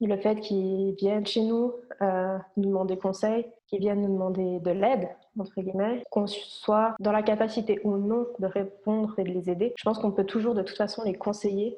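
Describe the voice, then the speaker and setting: A woman's medium-pitched voice with a monotone, flat intonation. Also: moderate pace. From France, Ain (Nantua), moved to Switzerland at about 13. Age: 20s. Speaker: medical massage therapist. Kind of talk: casual interview.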